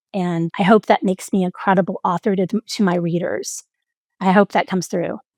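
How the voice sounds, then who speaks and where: With an ordinary speaking voice, a woman of medium pitch talks at a fairly quick pace and with fairly even intonation, recorded dry and close with no echo. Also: very clean recording, silent background. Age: 60s. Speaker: executive coach and author. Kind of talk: interview conversation.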